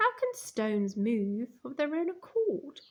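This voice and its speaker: A woman uses a put-on character voice with a high pitch. She moves at a fairly slow pace and her pitch swings very widely. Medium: read story.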